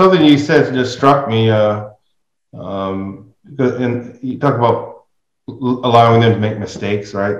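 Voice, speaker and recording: A man has a normal speaking voice at a medium pitch with ordinary pitch variation, speaking at a fairly slow pace. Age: 60s. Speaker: podcast host. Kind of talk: casual interview conversation.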